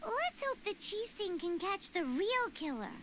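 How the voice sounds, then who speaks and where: A squeaky put-on character voice at an extremely high pitch, moderate pace, with clear background noise. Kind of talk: video game dialogue. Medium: video game.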